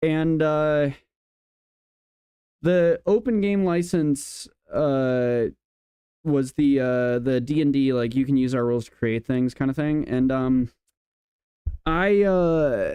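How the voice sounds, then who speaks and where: Speaking very slowly with long, frequent pauses, a man with a Midwestern accent keeps his loudness very even and his pitch variation ordinary. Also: fairly high pitch for a man. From US Midwest. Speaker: debate panelist. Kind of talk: casual chat.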